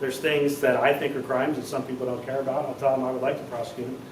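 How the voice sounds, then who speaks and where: Amid noticeable background noise and audible room echo, a man speaks at a medium pitch with a monotone, flat intonation. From Maryland, Washington County. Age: 40s. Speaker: political candidate. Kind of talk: town hall Q&A. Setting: town hall meeting.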